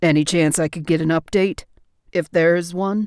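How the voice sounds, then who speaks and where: In a put-on character voice, a woman speaks at a fairly low pitch and moderate pace in a very clean recording with a silent background. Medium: read story. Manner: sarcastic.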